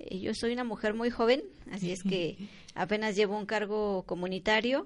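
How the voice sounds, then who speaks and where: A woman at a fairly high pitch, with ordinary pitch variation and a moderate pace over a quiet background. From Mexico, Oaxaca (Mixe region). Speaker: community centre volunteer. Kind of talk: interview.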